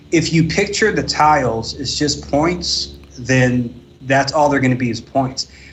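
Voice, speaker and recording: Here a man speaks at a moderate pace with a fairly high pitch and ordinary pitch variation. Noticeable background noise runs behind him. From Eritrea. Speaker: professional domino player. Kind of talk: podcast interview.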